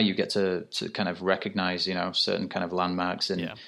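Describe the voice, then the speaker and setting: A man with a British accent talks very fast in a fairly low pitch. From UK. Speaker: graphic designer. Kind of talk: casual chat. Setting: remote call from France.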